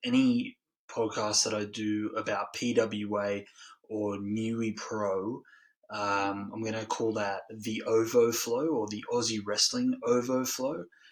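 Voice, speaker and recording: Against a quiet background, a man talks in a medium pitch at a fairly slow pace with monotone, flat intonation. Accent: Australian. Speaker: wrestling podcast host. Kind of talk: solo podcast review. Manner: hesitant, many filler ums.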